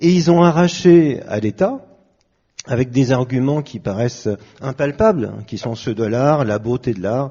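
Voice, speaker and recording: Fairly slow, somewhat breathy speech from a man with lively intonation. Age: 60s. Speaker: pianist. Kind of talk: panel discussion.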